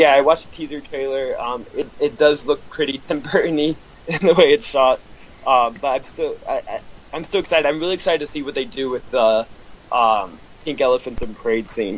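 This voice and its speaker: A man with a fairly high pitch talks at a fairly quick pace amid noticeable background noise. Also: ordinary pitch variation. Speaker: podcast guest, film fan. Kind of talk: casual interview chat. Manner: hesitant, many ums and repeats.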